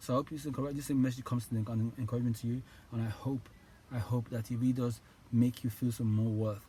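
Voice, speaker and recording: A man talks fairly quickly with a medium pitch and fairly even intonation. His voice is somewhat breathy, with a dark, mellow tone. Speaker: motivational YouTuber. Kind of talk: motivational talk to camera. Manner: fast; halting, many repetitions.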